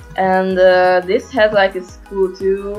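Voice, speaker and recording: A woman at medium pitch and a very slow pace, with music in the background. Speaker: gaming commentator. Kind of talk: casual gameplay commentary.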